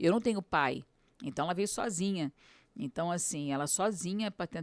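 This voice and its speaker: A woman speaks fairly slowly at a fairly low pitch, with ordinary pitch variation. The recording is very clean, with a silent background and a dry, close sound with no echo. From Rio de Janeiro, Brazil (moved from Aracaju, Sergipe at six). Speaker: city councillor. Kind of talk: podcast interview.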